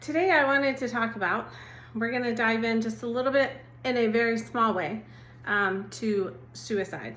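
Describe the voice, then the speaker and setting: In a room with audible echo, a woman with an American accent and a fairly high voice talks at a moderate pace with ordinary pitch variation. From Oklahoma. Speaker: assistant pastor. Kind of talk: devotional talk. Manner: gentle, conversational.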